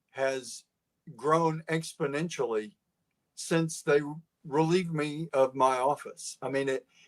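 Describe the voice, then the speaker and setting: A fairly high-pitched man with an East Texas accent. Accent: East Texas Southern. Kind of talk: interview. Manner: down-to-earth, plain-spoken.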